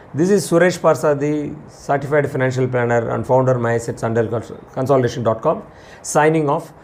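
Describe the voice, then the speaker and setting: Noticeable background noise sits behind a man with a Tamil Indian accent and a fairly high pitch. He talks at a fairly quick pace with ordinary pitch variation. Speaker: financial planner, channel host. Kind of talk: explainer talk to camera. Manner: halting, with restarts.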